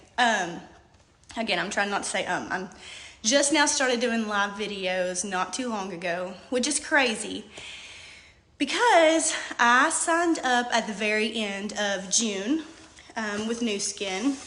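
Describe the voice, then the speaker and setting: A woman's fairly high voice with lively intonation, at a fairly slow pace with long, frequent pauses, amid noticeable background noise and audible room echo. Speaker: hairstylist and direct sales seller. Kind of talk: live video testimony. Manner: hesitant, many fillers.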